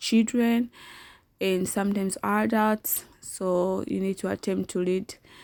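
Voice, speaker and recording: The speaker is a woman with an unremarkable speaking voice and a medium pitch. She talks at a fairly slow pace. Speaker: online work tutorial youtuber. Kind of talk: tutorial.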